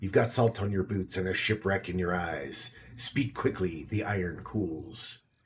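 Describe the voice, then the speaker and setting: Putting on a gruff character voice at a fairly low pitch, a man talks at a moderate pace with hardly any pauses. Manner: curt, terse.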